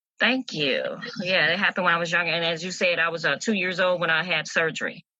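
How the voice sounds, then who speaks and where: A woman talks at a very fast pace in a fairly low pitch. Her loudness stays very even and her intonation fairly even. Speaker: podcast host. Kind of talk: interview.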